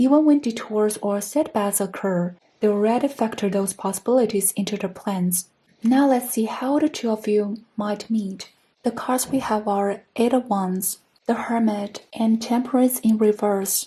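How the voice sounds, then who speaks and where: Somewhat breathy with a dark, mellow tone, a woman speaks at a fairly high pitch and moderate pace in a non-native accent, using ordinary pitch variation. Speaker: tarot reader. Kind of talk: tarot reading to camera.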